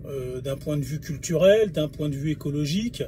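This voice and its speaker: His pitch fairly high and ordinarily varied, a man talks at a moderate pace. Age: 40s. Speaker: video blogger. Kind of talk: monologue video response. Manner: halting, many hesitations.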